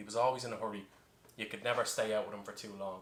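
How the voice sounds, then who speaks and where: Over noticeable background noise, a man talks with an Irish accent. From Ireland. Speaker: bartender. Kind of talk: tutorial with comic storytelling.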